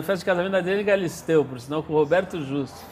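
A man talks at a very fast pace with a high pitch and ordinary pitch variation. Noticeable background noise is present. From Brazil, São Paulo. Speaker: magazine founder and editor. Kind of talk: casual interview. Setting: bookstore.

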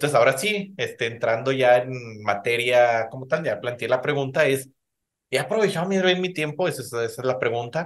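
A man speaks in a Mexican accent at a moderate pace. His medium-pitched voice has lively intonation. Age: 30s. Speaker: podcast host. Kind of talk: casual chat.

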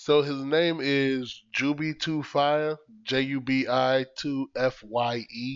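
Medium pitch from a male speaker. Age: 30s. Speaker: podcast co-host. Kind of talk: casual chat. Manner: loud.

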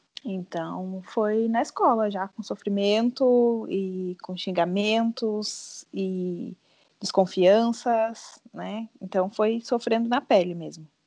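Speaking very slowly at a medium pitch, a woman uses a dark, mellow tone with fairly even intonation and big swings in loudness. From southern Brazil, Rio Grande do Sul (São José do Norte). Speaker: teacher. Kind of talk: casual chat.

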